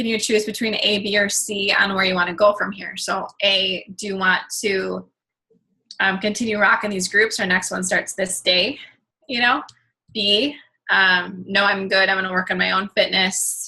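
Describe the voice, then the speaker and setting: Her tone is bright and sharp as this woman speaks at medium pitch and a moderate pace with fairly even intonation. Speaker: fitness coach. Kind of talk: video call training talk.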